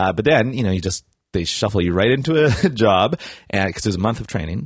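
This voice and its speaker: Here a man speaks very fast with lively intonation, in a Canadian Prairies accent. The sound is dry and close, with no echo. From Canada, Saskatchewan. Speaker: comedian. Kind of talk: casual chat.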